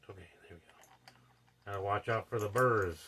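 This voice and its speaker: There is noticeable background noise. A man speaks at a moderate pace in a fairly low pitch. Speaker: DIY solar hobbyist. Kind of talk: hands-on tutorial. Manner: halting; goes quiet at times.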